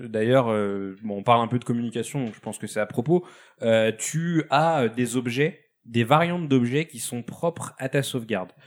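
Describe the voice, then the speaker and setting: The recording is very clean, with a silent background, as a man speaks at a moderate pace with medium pitch. His pitch variation is ordinary, while his loudness swings widely. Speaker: video game specialist. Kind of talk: casual chat. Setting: studio.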